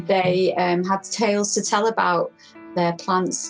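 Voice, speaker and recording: Music plays in the background. A woman speaks at a fairly low pitch. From Manchester, England. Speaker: community and social practice artist. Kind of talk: interview answer.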